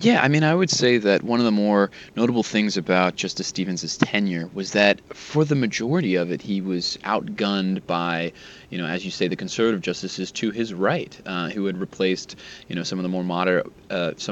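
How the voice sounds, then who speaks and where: In an ordinary speaking voice, a man talks at a fairly low pitch with ordinary pitch variation. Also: fairly quick pace. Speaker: Supreme Court reporter. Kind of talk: interview about a Supreme Court justice's legacy.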